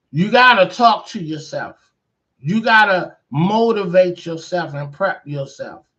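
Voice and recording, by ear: A man's high, bright and sharp voice with lively intonation, fairly slow in pace, with audible room echo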